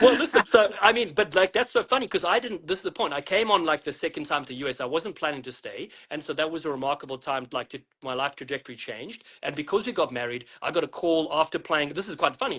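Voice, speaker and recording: Speaking very fast with hardly any pauses, a man with a South African accent uses lively intonation and a fairly high pitch, his tone bright and sharp and his loudness swinging widely. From South Africa, Western Cape. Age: 40s. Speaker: rugby commentator and former player. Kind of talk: interview.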